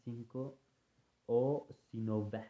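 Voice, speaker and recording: The intonation of this man's speech stays fairly even. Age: 20s. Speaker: podcaster. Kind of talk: casual monologue.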